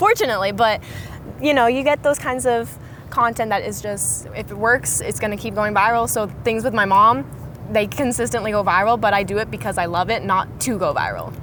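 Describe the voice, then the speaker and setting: Ordinary pitch variation and a fairly quick pace mark this speech, heard over noticeable background noise. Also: woman, fairly high pitch for a woman. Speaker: social media creator. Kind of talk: casual interview. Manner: animated.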